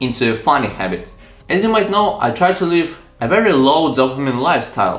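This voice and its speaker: A man's fairly high voice at a moderate pace with lively intonation, over background music and audible room echo. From Ukraine. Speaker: self-improvement youtuber. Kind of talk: motivational talk to camera.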